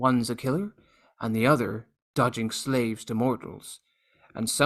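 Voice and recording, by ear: With fairly even intonation, a natural voice reads aloud over a quiet background.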